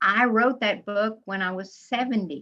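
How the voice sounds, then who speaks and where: Bright and sharp in tone, a woman's medium-pitched voice shows ordinary pitch variation. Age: 70s. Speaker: author. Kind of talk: interview.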